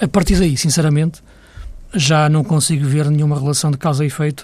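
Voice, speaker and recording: A man's somewhat breathy, fairly high voice at a fairly quick pace, with fairly even intonation. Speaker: football pundit. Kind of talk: casual chat.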